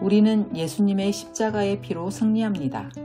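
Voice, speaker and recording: The speech moves at a fairly slow pace while music plays in the background. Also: woman. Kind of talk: religious book reading.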